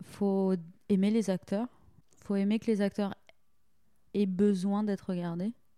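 Her voice is a woman's at medium pitch, dark and mellow in tone, with monotone, flat intonation, a fairly slow pace and long, frequent pauses, recorded with a dry, close sound with no echo. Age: 20s. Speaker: theatre and opera director. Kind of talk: casual interview.

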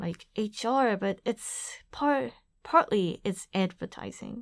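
A woman with a Japanese accent talks very slowly at a fairly high pitch. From Japan, Aichi Prefecture. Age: 30s. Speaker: activist. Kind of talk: interview. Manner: halting.

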